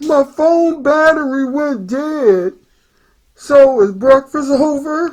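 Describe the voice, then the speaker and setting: A woman's high, put-on character voice at a very slow pace, with ordinary pitch variation. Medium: read story. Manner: laid-back, casual.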